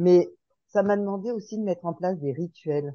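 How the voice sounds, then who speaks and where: At a moderate pace, a woman talks in an unremarkable speaking voice with ordinary pitch variation. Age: 60s. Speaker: podcast group participant. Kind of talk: casual group discussion.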